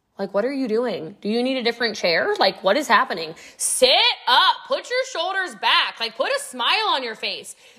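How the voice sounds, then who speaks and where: A woman speaks at a high pitch and a moderate pace in an animated tone with very wide pitch swings. Noticeable background noise runs underneath. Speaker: podcast host and network marketing mentor. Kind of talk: motivational training monologue. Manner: clear enunciation.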